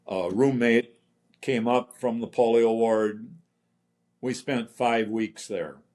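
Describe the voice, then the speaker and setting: With an Upper Midwest accent, a man talks at a very slow pace, leaving long, frequent pauses. His intonation stays fairly even. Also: medium pitch for a man. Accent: Upper Midwest American. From central Minnesota. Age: 80s+. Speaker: polio survivor. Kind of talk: testimony.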